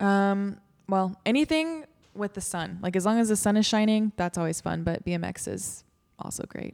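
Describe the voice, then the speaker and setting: Lively intonation and a moderate pace mark a plain, everyday voice. The recording is very clean, with a silent background. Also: woman, medium pitch for a woman. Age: 20s. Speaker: podcast host. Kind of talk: casual chat.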